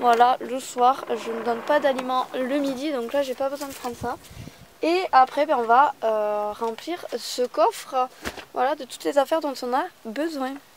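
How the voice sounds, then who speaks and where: A woman with a high voice speaks fairly slowly, her pitch varying in an ordinary way. Noticeable background noise can be heard. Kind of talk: casual vlog. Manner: hesitant with many fillers.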